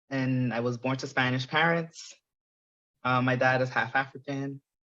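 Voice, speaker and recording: The speaker uses an American accent, keeping a monotone, flat intonation and a moderate pace. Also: man, medium pitch for a man. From New York and Lafayette, southern Louisiana. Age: 20s. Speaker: podcast guest. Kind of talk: casual interview.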